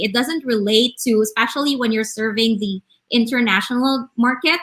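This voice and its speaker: With a Visayan Filipino accent, a woman speaks at a moderate pace in a fairly high pitch with ordinary pitch variation. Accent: Filipino (Cebuano) English. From Philippines, Cebu. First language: Bisaya. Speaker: online business manager. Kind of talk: casual chat. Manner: halting.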